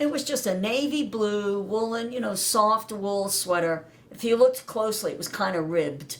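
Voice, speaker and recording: A woman's fairly high voice with lively intonation, at a moderate pace amid noticeable background noise. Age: 60s. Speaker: daughter of a navy veteran. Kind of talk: interview about family history.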